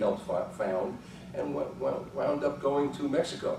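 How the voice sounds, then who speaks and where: The man talks at a moderate speed while noticeable background noise and audible room echo fill the recording. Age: 70s. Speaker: psychologist and journal editor. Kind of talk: conference talk. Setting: conference room with audience. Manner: casual, halting with fillers.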